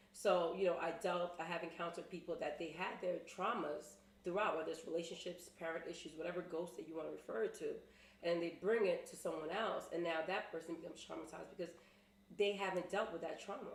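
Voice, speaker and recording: Over noticeable background noise, the speech comes at a very fast pace. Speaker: podcast co-host. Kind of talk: casual chat.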